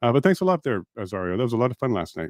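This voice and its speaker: Speaking with a Canadian accent at a medium pitch, a man makes very wide pitch swings, in a dry, close sound with no echo on a very clean recording with a silent background. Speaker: livestream show host. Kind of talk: livestream chat reading viewer comments. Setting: livestream. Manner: halting, speech impediment; casual, friendly.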